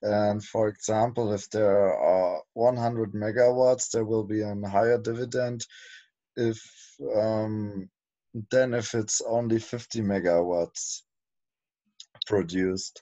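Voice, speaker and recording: Against a quiet background, a man with a German accent speaks very slowly in a fairly low, dark, mellow voice, flat and monotone, with long, frequent pauses. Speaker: project team member. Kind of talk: casual chat. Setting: video call. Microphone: video call.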